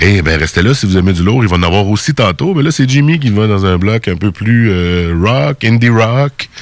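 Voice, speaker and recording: Against noticeable background noise, a man talks at a moderate pace with hardly any pauses and very even loudness. His fairly low voice has lively intonation. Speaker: radio host. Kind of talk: casual chat.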